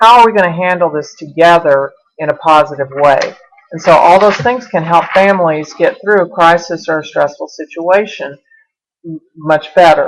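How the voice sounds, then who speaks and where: Speaking in a Southern US accent, a woman uses a fairly low pitch with ordinary pitch variation. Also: moderate pace. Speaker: college instructor. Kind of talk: online lecture to students. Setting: webcam recording.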